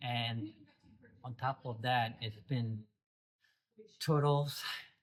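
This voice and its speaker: Somewhat breathy, the man speaks at a medium pitch with fairly even intonation. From South Korea. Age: 70s. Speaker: reptile zoo owner. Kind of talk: casual interview chat. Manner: halting, many fillers.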